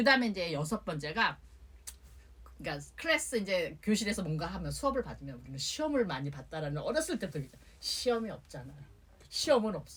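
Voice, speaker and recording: A woman talks at a very fast pace and medium pitch. Her pitch swings very widely, and her loudness rises and falls sharply. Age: old. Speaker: singer-songwriter. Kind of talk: interview answer.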